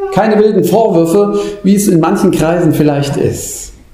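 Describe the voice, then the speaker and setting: A man's voice over noticeable background noise. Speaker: preacher. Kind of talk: sermon, preacher in full flow. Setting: church. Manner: impassioned, rhetorical, urgent; rising, pleading delivery with repeated questions.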